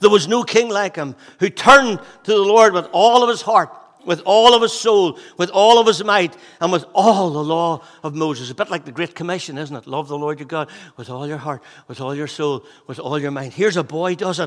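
Speaking in a Northern Irish accent, a man uses a high pitch and lively intonation. His pace is moderate. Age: 50s. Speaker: pastor. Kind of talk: sermon. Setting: church.

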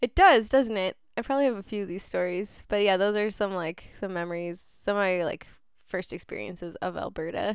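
In a normal speaking voice with a Canadian accent, the speaker moves at a fairly quick pace with ordinary pitch variation. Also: woman, medium pitch for a woman. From southern Ontario, Canada. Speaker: community radio host. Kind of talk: casual radio chat. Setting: radio studio, live stream.

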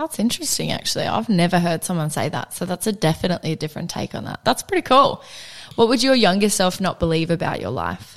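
Talking at a very fast pace, a woman uses a fairly low pitch with very wide pitch swings and vocal fry. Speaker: podcast host. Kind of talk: casual interview chat.

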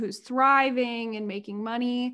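In a normal speaking voice, a woman talks at a fairly slow pace and a fairly high pitch with ordinary pitch variation against a quiet background. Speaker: podcast host. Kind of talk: casual interview.

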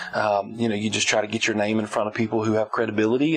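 In a Southern US accent, a man speaks very fast at a fairly low pitch, his intonation monotone and flat, over noticeable background noise. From Alabama, US South. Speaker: music production company owner. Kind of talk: casual interview. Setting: studio.

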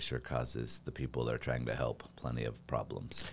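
A man with an American accent and a very deep, low pitch speaks at a very fast pace over noticeable background noise. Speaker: real estate team leader. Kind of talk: casual chat.

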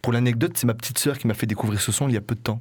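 A somewhat breathy man's voice at medium pitch with fairly even intonation. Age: 20s. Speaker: community radio host. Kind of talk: radio show with music presentation. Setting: radio studio.

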